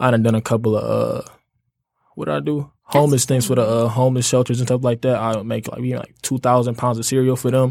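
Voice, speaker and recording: A man's medium-pitched voice at a very fast pace, with fairly even intonation, on a very clean recording with a silent background. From Detroit. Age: 20s. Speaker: college student and clothing entrepreneur. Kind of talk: casual chat.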